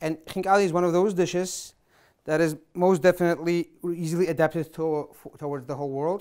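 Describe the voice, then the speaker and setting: A man speaks in a high pitch at a moderate pace over a quiet background. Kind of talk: cooking show explanation. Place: kitchen.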